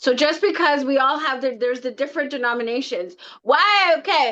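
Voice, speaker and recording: A woman talks at a fairly quick pace in a high pitch, raising and projecting her voice. Her tone is bright, sharp and animated. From Canada, Scarborough, Toronto. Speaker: tarot deck creator. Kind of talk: casual interview chat.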